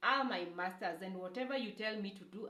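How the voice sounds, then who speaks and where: With a Kenyan accent, a woman speaks at a medium pitch in a bright, sharp tone, with ordinary pitch variation and audible room echo. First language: Kikuyu. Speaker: YouTuber. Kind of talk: testimony. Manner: halting.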